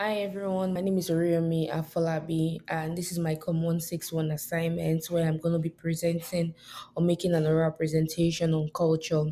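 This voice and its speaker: Speaking fast-ish in a Nigerian accent, a woman keeps a dark, mellow tone and monotone, flat intonation at a fairly quick pace. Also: fairly low pitch for a woman. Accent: Nigerian (Yoruba) English. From Nigeria, southwest (Yoruba, Lagos). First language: Yoruba. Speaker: college student. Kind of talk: class oral presentation. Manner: halting, many fillers.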